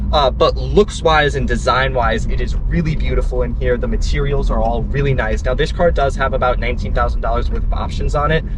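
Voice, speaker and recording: Hardly pausing, a man with an American accent talks at a fairly quick pace. Noticeable background noise and audible room echo surround him. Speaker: car reviewer. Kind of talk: car review while driving. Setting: in a car. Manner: enthusiastic.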